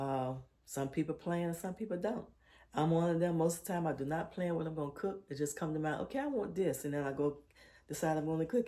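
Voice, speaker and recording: Soft-spoken and very fast, a woman talks in a dark, mellow tone with fairly low pitch and ordinary pitch variation. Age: 60s. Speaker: lifestyle vlogger. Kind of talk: casual vlog talk while cooking. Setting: home kitchen. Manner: soft-spoken, low.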